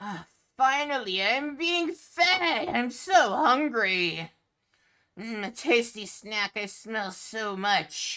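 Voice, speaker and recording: A female-sounding put-on character voice, raised and projected, with a fairly high pitch. The pace is very slow. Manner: hungry, gloating.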